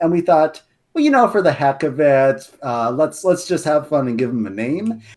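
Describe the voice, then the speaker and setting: A man with a fairly high pitch talks with very wide pitch swings. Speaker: guest lore expert and writer. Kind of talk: casual podcast chat.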